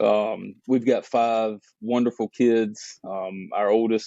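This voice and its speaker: A fairly slow pace with a Southern US accent. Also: man. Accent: Southern drawl. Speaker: business owner. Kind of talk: podcast interview, testimony.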